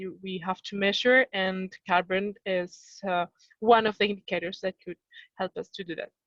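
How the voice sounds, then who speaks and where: In a French accent, a woman speaks at a moderate pace with a medium pitch and flat, monotone intonation, the sound dry and close with no echo. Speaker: company sustainability representative. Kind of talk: workshop discussion. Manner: halting.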